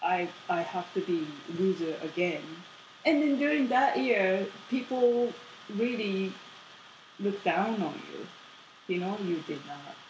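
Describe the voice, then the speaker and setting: With a Japanese accent, the speaker talks at a very slow pace with long, frequent pauses and very wide pitch swings, and noticeable background noise is present. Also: woman, medium pitch for a woman. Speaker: podcast guest, host's partner. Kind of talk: casual chat.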